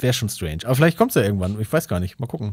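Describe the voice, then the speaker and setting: Recorded very cleanly with total silence behind him, a man speaks. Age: 30s. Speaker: comedy writer. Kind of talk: casual chat.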